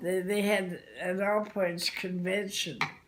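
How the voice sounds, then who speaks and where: Noticeable background noise is heard behind a woman's fairly low-pitched voice. She speaks at a very slow pace. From Canada. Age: 80s+. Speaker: realtor. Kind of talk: interview answer.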